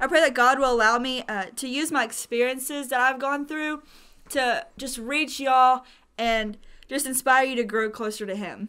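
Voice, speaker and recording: A raised, projected woman's voice with a Southern US accent, high in pitch and bright and sharp in tone, on a very clean recording with a silent background. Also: ordinary pitch variation, moderate pace. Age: young. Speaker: podcast co-host, college student. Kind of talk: casual faith podcast chat.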